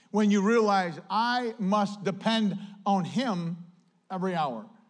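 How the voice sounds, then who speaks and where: A man speaks in a high voice with ordinary pitch variation, and the room echo is audible. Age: 50s. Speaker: pastor. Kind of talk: sermon. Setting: church. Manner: animated.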